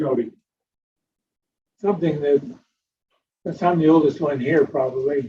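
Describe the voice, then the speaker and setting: A man talks at a fairly high pitch with a dark, mellow tone. His voice is somewhat breathy and his intonation fairly even. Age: 80s+. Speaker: planning commissioner. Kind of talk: meeting discussion.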